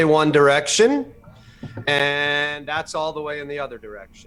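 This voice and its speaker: Moderate pace amid noticeable background noise. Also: man. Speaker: show host. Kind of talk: casual chat. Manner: loud.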